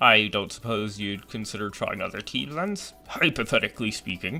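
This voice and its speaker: With a fairly low pitch, a man speaks in a put-on character voice. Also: moderate pace. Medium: fan dub. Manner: gentle, courteous.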